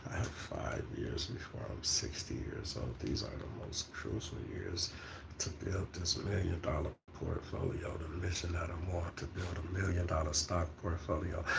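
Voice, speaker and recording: Noticeable background noise and audible room echo surround a man speaking at a moderate pace. His pitch is very deep and low, with ordinary variation. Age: 50s. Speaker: stock market vlogger. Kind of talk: casual monologue.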